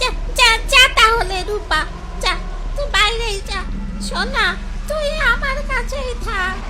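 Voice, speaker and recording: A female-sounding voice performs a cartoonish character voice at an extremely high pitch. The pace stays moderate. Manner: sweet, coaxing old-woman voice.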